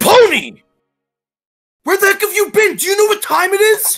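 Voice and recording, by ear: Putting on a character voice, a woman speaks at a moderate pace in an extremely high pitch with a fairly bright tone and lively intonation, faint music playing behind her.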